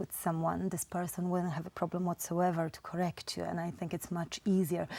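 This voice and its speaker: A woman with a Polish accent speaks at a fairly low pitch in a dark, mellow, somewhat breathy tone. The sound is dry and close, with no echo. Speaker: Polish community representative. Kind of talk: interview.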